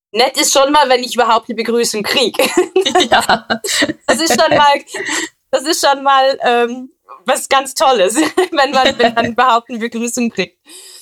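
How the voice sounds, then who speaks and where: The speech moves at a moderate pace with ordinary pitch variation. Long pauses come often. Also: woman, high pitch for a woman. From Switzerland. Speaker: police officer. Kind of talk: interview. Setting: recorded at home.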